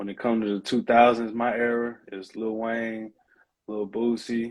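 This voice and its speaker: With a Southern accent, a man speaks at a medium pitch and moderate pace. His intonation is monotone and flat. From US South, Mississippi. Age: 20s. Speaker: rapper. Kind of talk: interview.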